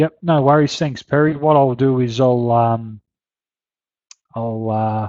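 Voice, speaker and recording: This man has an Australian accent. His intonation stays fairly even. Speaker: horse racing betting tipster. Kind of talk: webinar Q&A. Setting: live webinar. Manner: halting, many fillers; mumbling.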